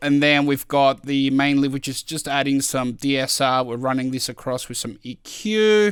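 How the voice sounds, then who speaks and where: A man with an ordinary speaking voice, fairly high pitch, fairly even intonation and a fairly quick pace, in a very clean recording with a silent background. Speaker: music producer. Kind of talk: tutorial. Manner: casual, many filler words.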